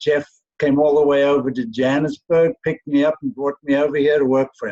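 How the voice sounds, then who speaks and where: A man with a South African accent, fairly high in pitch yet dark and mellow in tone, at a fairly quick pace with fairly even intonation and a dry, close sound with no echo. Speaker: company employee. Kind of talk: self-introduction in virtual meeting. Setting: video call.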